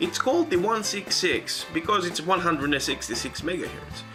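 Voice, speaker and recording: A man with a non-native accent speaks at a moderate pace in a high pitch, his voice making very wide pitch swings. Music plays in the background. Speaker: retro PC hardware hobbyist. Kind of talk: casual talk to camera. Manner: awkward.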